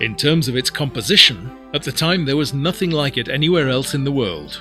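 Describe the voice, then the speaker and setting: Fairly high male speech at a fairly quick pace, with ordinary pitch variation and music in the background. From Britain. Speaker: actor and musician, documentary narrator. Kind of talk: documentary narration.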